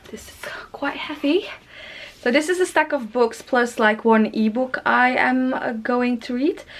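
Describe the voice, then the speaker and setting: Amid noticeable background noise, a woman speaks at a fairly slow pace with a high pitch, ordinary pitch variation and big swings in loudness. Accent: non-native. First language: not English. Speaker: book youtuber. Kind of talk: casual vlog talk. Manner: halting.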